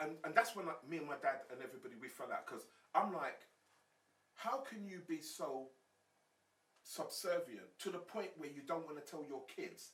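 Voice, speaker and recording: A man with a London accent speaks at a high pitch with lively intonation, long, frequent pauses and big swings in loudness. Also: moderate pace. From South London, England. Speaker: former gang leader, gang activist. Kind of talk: podcast interview.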